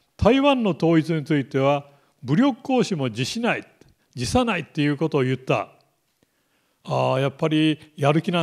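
A man's voice with very wide pitch swings against a quiet background. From Japan, Kumamoto; Japan. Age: 70s. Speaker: military analyst. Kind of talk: lecture. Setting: lecture hall with live online stream. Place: classroom. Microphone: handheld.

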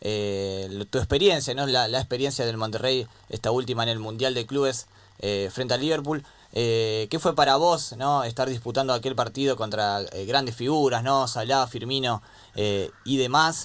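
A man with an Argentine accent, medium pitch, ordinary pitch variation, and a moderate pace. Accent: Argentine Spanish (Rioplatense). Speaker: radio sports co-host. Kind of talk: radio interview.

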